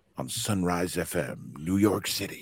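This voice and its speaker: In a put-on character voice, a man talks at a fairly slow pace with a very deep, low pitch. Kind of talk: announcer.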